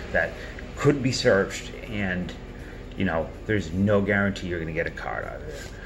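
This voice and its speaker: Over noticeable background noise, a man talks at a moderate pace in a fairly low pitch. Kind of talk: casual commentary. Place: home room.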